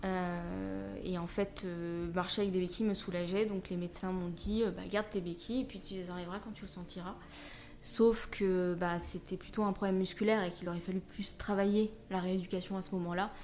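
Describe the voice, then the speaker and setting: A woman speaks with monotone, flat intonation. Room echo is audible around her voice. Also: medium pitch for a woman, moderate pace. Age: 30s. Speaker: wheelchair user, social media creator. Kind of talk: personal testimony in interview. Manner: hesitant, many fillers.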